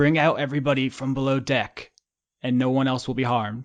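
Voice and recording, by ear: Using a put-on character voice, a medium-pitched man speaks fairly quickly in a hissing, monotone, flat delivery.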